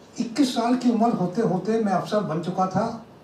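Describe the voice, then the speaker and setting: A man speaks with lively intonation over noticeable background noise, with audible room echo. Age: 60s. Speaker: retired army officer and motivational speaker. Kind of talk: public talk.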